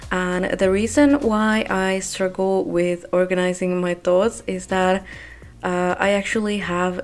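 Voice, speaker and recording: A woman talks at a fairly slow pace in a non-native accent, her pitch medium and her intonation fairly even. Noticeable background noise runs beneath her voice. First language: not English. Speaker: gaming video creator. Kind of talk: voiceover monologue. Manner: halting, with pauses.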